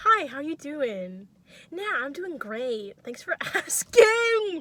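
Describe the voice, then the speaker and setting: In a put-on character voice, a woman projects loudly at a high pitch, moving very slowly with very wide pitch swings. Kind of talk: polite, chipper phone-service tone. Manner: friendly, upbeat.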